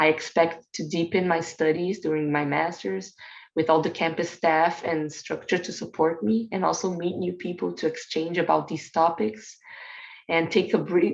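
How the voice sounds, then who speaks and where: A woman's fairly low voice with vocal fry, ordinary pitch variation and a moderate pace over a quiet background. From Brazil. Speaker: teacher and graduate student. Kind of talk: self-introduction.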